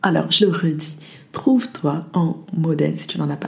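A woman's fairly low voice with ordinary pitch variation, an unremarkable speaking voice. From France, arrived from the US at age 8. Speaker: podcast host and motivation coach. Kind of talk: motivational monologue.

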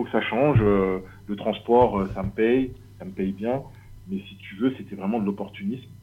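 This is a man with a fairly low pitch. His pitch varies an ordinary amount. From Paris region, France. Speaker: leather craftsman. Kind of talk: casual interview.

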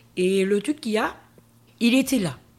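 A somewhat breathy woman's voice at medium pitch, with ordinary pitch variation. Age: 50s. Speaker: interview guest sharing her life story. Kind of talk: testimony.

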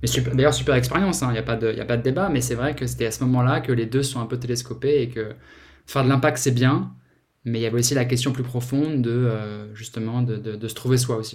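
Audible room echo surrounds a somewhat breathy man at medium pitch. He talks at a fairly quick pace with fairly even intonation. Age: 40s. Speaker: startup founder and CEO. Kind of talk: interview. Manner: halting, many repetitions and fillers.

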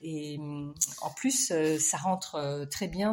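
A woman talks in a very deep, low, somewhat breathy voice with ordinary pitch variation. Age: 60s. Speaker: textile artist and dyer. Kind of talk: recorded self-introduction.

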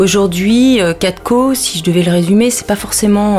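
A woman's pitch varies in an ordinary way while background noise is clearly audible. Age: 40s. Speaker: business founder and workshop facilitator. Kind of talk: interview.

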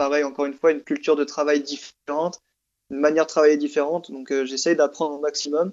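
A man's fairly high, monotone, flat voice at a very fast pace. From Southern France. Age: 20s. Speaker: expatriate working in animation production. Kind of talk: casual interview.

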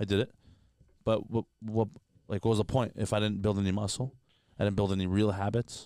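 A man talks at a fairly low pitch. Nothing else is heard, as the recording is very clean with a silent background. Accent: Toronto. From Canada. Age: 20s. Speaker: comedian. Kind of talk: casual chat. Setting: studio. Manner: animated.

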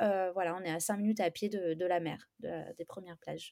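A woman talks here. The background is silent in this very clean recording. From southern France, Istres near Aix-en-Provence. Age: 30s. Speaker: home renovator. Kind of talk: casual interview. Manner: hesitant, many fillers.

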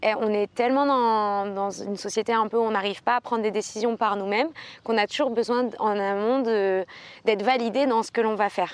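A woman with a fairly high pitch and an ordinary speaking voice talks at a moderate pace. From Aix-en-Provence, southern France. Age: 20s. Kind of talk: casual chat.

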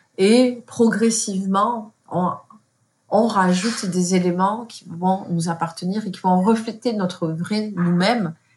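In a very clean recording with a silent background, a woman speaks at a very slow pace with a medium pitch and a somewhat breathy voice. Her intonation is fairly even, while her loudness swings widely. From France, of Moroccan parents. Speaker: content creator. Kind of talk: interview conversation.

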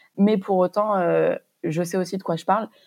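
The recording is very clean, with a silent background. A woman speaks at medium pitch and a moderate pace in a dark, mellow tone. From Montpellier, southern France. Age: 20s. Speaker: young entrepreneur, pharmacist. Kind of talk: interview testimony.

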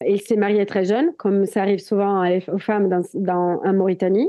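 In a strong Italian accent, a woman speaks. Her pace is fairly quick. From Italy, Italian Alps. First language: Italian (speaking French). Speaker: adventurer and documentary filmmaker. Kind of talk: casual interview.

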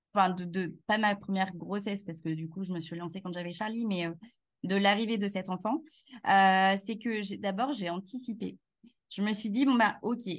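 A woman with a medium pitch talks at a moderate pace. Her voice is somewhat breathy, with ordinary pitch variation. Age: 30s. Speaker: HR consultant and business founder. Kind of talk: casual interview chat.

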